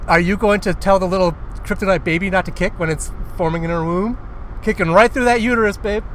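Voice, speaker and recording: Over noticeable background noise, a man talks at a very fast pace. His high pitch stays fairly even in intonation. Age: 40s. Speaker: podcast co-host. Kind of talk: casual chat. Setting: in a car.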